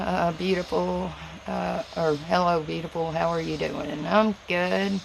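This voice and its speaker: A woman speaks in a strong Southern US accent at a fairly slow pace. Noticeable background noise runs underneath. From Tennessee, US South. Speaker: livestreamer. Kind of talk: casual chat. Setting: livestream from home. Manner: words run together.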